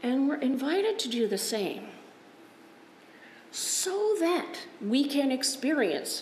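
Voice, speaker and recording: Delivery is very slow. Light background noise and audible room echo can be heard. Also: woman. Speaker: Lutheran pastor. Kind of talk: sermon. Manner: conversational, informal. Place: church.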